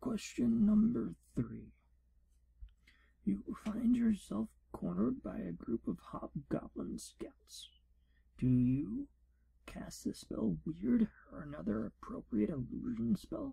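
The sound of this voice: A man puts on a character voice, high in pitch, with big pitch swings at a slow pace. His tone is dark and mellow, with a husky, rough edge and vocal fry.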